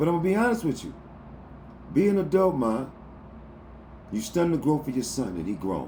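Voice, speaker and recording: Audible room echo surrounds a man whose pitch swings very widely as he speaks at a moderate pace. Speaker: livestream motivational talker. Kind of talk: livestream monologue. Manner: loud, yelling; animated.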